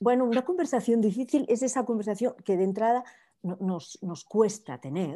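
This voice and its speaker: This very clean recording with a silent background carries a dark, mellow voice with lively intonation at a moderate pace. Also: woman. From Spain, Barcelona. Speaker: life coach. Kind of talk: interview.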